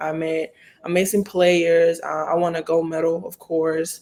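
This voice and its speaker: A woman speaks at a moderate pace with a fairly low pitch. Her intonation stays monotone and flat. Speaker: college basketball player. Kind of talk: interview.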